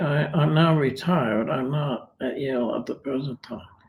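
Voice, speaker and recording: With an American accent, a man talks at a moderate pace in a fairly high, somewhat breathy voice with fairly even intonation. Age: 80s+. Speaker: retired philosophy professor. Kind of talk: interview. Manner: hesitant, many fillers.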